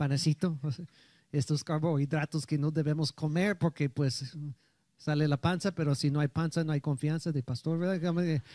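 Over a quiet background, a man with a dark, mellow tone speaks at a moderate pace with very even loudness and fairly even intonation, in a dry sound with no echo. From United States. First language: English (speaking Spanish). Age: 60s. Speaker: pastor. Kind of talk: sermon. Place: church. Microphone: handheld.

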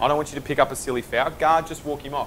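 Speaking at a very fast pace, a man with a fairly high pitch and a fairly bright tone keeps his intonation fairly even.

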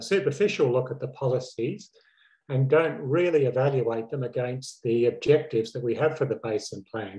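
A man's somewhat breathy, dark, mellow voice at a moderate pace with ordinary pitch variation, over a quiet background. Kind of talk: lecture. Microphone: webcam.

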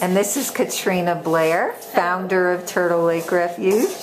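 At a fairly slow pace, a woman speaks with a fairly low pitch and ordinary pitch variation. Background noise is clearly audible.

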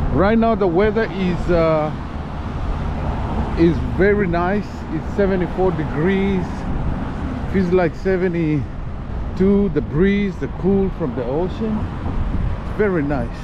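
Very slow delivery with long, frequent pauses, a dry echo-free sound, and noticeable background noise. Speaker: father vlogger. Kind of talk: casual vlog chat. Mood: relaxed, pleased. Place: street. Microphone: phone near.

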